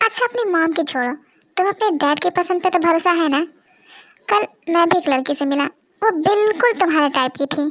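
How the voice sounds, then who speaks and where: A woman's put-on character voice at an extremely high pitch, with lively intonation, a fairly quick pace, long, frequent pauses and very even loudness. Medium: audio drama.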